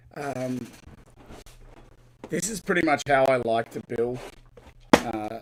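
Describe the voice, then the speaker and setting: An Australian accent and a medium pitch mark this man's voice. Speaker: LEGO builder and live streamer. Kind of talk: live stream chat while building. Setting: live stream from home studio.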